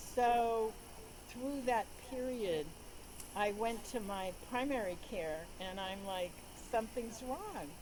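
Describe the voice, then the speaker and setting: A woman speaks at a very slow pace, with long, frequent pauses and ordinary pitch variation. Room echo is audible. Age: 70s. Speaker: doctor sharing personal patient story. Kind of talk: interview. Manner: halting.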